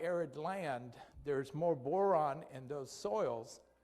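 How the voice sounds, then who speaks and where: A man talks at a very slow pace in a fairly high pitch with ordinary variation. Audible room echo surrounds his voice. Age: 60s. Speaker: physician giving health presentation. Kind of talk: lecture. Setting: church presentation. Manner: halting.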